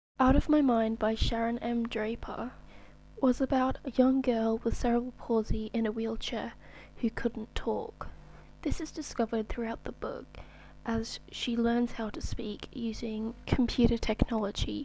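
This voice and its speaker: Soft-spoken, this speaker goes at a fairly slow pace. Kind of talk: ASMR soft-spoken book review.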